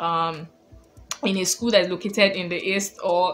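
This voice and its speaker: A woman speaks with a Nigerian accent against noticeable background noise. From Nigeria, Lagos. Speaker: lifestyle vlogger. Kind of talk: casual advice vlog.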